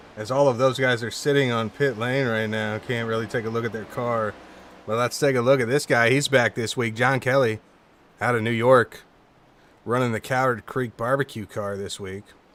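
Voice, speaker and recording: The voice belongs to a man with a medium pitch. He keeps a moderate pace, and his intonation stays monotone and flat. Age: 40s. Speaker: sim racing commentator. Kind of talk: live commentary. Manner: casual.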